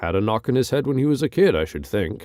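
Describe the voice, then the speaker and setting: On a very clean recording with a silent background, a man in a put-on character voice races at a very fast pace, making very wide pitch swings around a medium pitch. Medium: read story. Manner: brief, blunt.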